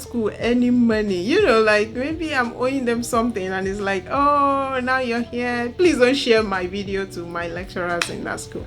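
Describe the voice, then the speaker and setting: A woman's high voice with a Nigerian accent, lively intonation and noticeable background noise. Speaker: university lecturer and vlogger. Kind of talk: casual storytelling vlog. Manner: halting, with many fillers.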